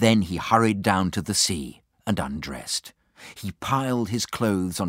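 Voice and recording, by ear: The backdrop stays quiet. The reading aloud in a natural voice has ordinary pitch variation.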